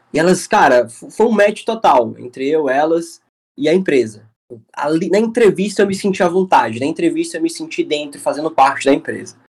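A man speaks at a moderate pace with a high pitch. His pitch swings very widely. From Brazil, Fortaleza, Ceará. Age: 20s. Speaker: UX/UI designer. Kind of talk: podcast interview. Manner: casual, filler-heavy.

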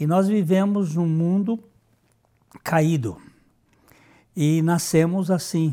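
A man's dark, mellow tone at a fairly high pitch. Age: 70s. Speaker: pastor. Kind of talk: sermon.

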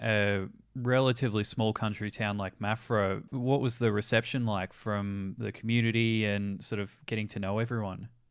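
A man with an Australian accent speaks in a fairly low pitch with fairly even intonation. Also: very clean recording, silent background. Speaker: podcast presenter. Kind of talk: scripted narration.

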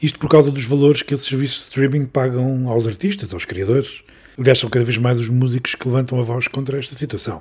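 A man talks at a very fast pace in a somewhat breathy voice of medium pitch, with ordinary pitch variation. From Beira region, Portugal. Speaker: podcast host. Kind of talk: interview.

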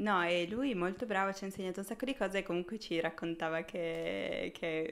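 A woman at medium pitch talks at a moderate pace with ordinary pitch variation and hardly any pauses. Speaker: junior motion designer. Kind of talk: casual chat. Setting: live stream. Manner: shy.

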